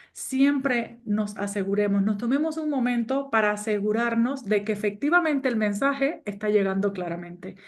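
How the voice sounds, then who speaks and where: A woman's fairly high voice with a Cuban accent and lively intonation, at a moderate pace, with audible room echo. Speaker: business coach and trainer. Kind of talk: online course lecture.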